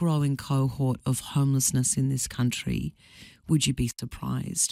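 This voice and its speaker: A woman with an Australian accent is heard in a very clean recording with a silent background and a dry, close sound without echo. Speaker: radio presenter. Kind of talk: radio interview host.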